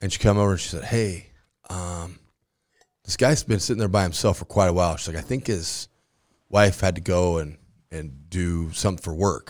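A man's very deep, low voice with an American accent, moderate in pace with ordinary pitch variation, big swings in loudness and long, frequent pauses, in a very clean recording with a silent background. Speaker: high school football coach. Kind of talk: casual chat. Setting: studio.

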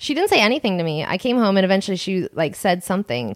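Talking fast with big pitch swings, a woman with an American accent keeps her voice at a medium pitch.

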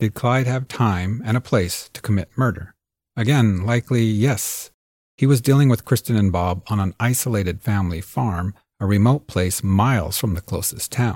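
A normal speaking voice with ordinary pitch variation moves at a moderate pace, the sound dry and close with no echo on a very clean recording with a silent background. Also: man, fairly low pitch for a man. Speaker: podcast host and producer. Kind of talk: true-crime narration. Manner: measured, serious, storytelling delivery.

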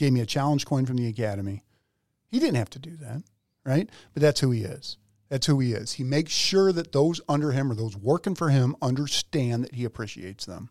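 A man's medium-pitched voice with an American accent, animated in tone and lively in intonation, fairly quick, with big swings in loudness, in a very clean recording with a silent background. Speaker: podcast host and police officer. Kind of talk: casual chat.

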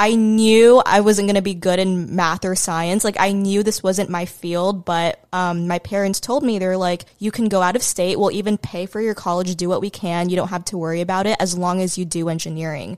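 In a very clean recording with a silent background, a woman talks in a plain, everyday voice at a medium pitch and a moderate pace. Her intonation is fairly even, and she hardly pauses at all. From US, immigrated from the Philippines as a small child. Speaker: social media content creator. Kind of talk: casual chat. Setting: at her home.

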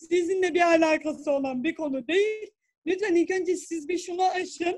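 Her voice extremely high in pitch, a woman speaks at a fairly slow pace. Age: 30s. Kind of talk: interview. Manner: halting.

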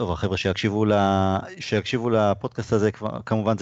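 This man has an ordinary speaking voice with a fairly low pitch. He talks at a fairly quick pace. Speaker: podcast host. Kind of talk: casual chat. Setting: video call.

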